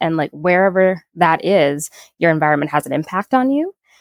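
With an American accent, a woman in an ordinary speaking voice talks at a fairly quick pace with lively intonation, in a dry, close sound with no echo. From Minnesota, Saint Paul. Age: young. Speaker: environmental justice advocate. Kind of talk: interview conversation.

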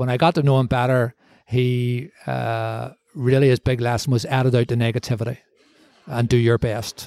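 A man speaks in a Belfast accent with a dark, mellow tone. His intonation is monotone and flat, and the sound is dry and close with no echo. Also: medium pitch for a man, moderate pace. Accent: Belfast Northern Irish. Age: 60s. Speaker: former mayor and media executive. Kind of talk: interview. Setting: bar.

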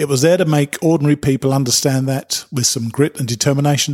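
A man with a British accent at a fairly high pitch, somewhat breathy, at a very fast pace with ordinary pitch variation, in a dry, close sound with no echo. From Britain. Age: 60s. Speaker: hiking podcast host. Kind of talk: promotional spot.

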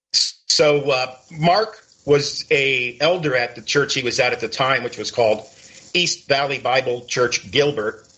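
At a fairly slow pace, a man with a fairly high pitch uses a normal speaking voice, his pitch varying in an ordinary way. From Connecticut. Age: 60s. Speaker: biker ministry author and content creator. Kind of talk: interview.

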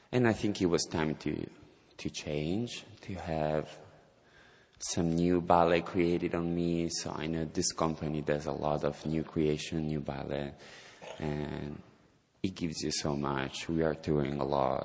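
A man speaks at a fairly slow pace in a very deep, low pitch. His intonation stays fairly even. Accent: Italian. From southern Italy, Calabria. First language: Italian. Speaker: ballet dancer. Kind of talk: interview. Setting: stage with audience.

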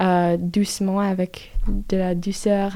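With an English accent, a woman speaks at a medium pitch in a dark, mellow tone and monotone, flat intonation, on a very clean recording with a silent background. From US South. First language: English (speaking French). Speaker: exchange student. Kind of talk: interview. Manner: halting.

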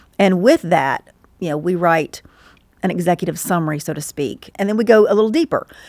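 A woman with a Southern US accent and a fairly low voice speaks fairly quickly with ordinary pitch variation, the sound dry and close without echo. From Georgia, US South (Stockbridge). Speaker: insurance paraplanner. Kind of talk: interview.

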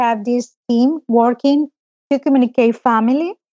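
With a Spanish accent, a woman speaks at a high pitch with ordinary pitch variation. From El Salvador. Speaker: pediatric oncologist. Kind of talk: interview conversation.

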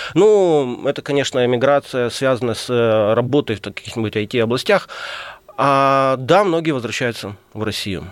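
At a moderate pace, a man speaks with lively intonation in an unremarkable speaking voice of medium pitch. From Crimea, Ukraine. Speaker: publicist and journalist. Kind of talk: radio interview. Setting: radio studio.

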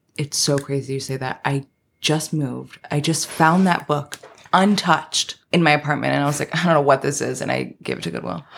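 This woman's pitch is very deep and low, with vocal fry and ordinary pitch variation. She speaks at a fairly quick pace with an American accent. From Queens, New York. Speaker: TV writer. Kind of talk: casual interview chat.

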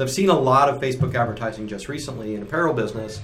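Audible room echo surrounds a man as he speaks. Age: 50s. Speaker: podcast co-host, apparel equipment business. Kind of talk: casual chat.

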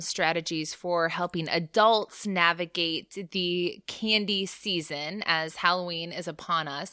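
A woman's clear, smooth, bright, sharp tone, fairly low pitch, ordinary pitch variation and slow pace

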